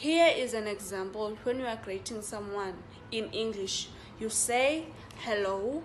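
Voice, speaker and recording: A woman with a South African accent speaks at a fairly slow pace in a fairly high pitch with ordinary pitch variation, with audible room echo and noticeable background noise. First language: Xhosa. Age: 18. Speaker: student teacher. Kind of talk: class assignment presentation.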